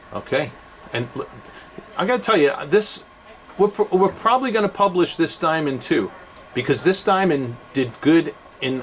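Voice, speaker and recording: A man with a New York accent talks at a moderate pace with lively intonation. Noticeable background noise runs behind him. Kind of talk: product review tutorial. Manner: animated, enthusiastic; casual with many fillers.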